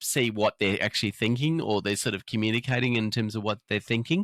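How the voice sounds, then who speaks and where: This man speaks at a medium pitch with ordinary pitch variation, in an Australian accent. The sound is dry and close, with no echo. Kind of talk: interview. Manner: fast; halting, many fillers.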